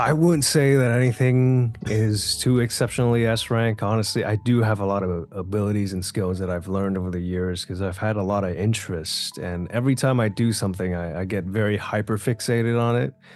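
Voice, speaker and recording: A man with an ordinary speaking voice talks at a fairly quick pace and fairly low pitch, with hardly any pauses. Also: ordinary pitch variation. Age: 20s. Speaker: voice actor. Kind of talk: interview answer.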